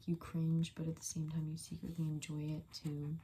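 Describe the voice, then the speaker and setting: A soft-spoken woman talks at a moderate pace in a fairly low, somewhat breathy voice. Her tone is dark and mellow. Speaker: ASMR creator. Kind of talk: ASMR soft-spoken rambling. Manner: casual rambling with fillers.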